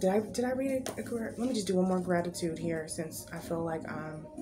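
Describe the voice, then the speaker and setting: Over background music and audible room echo, a woman speaks at a moderate pace with a medium pitch and lively intonation. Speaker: tarot card reader. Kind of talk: pick-a-card spiritual reading.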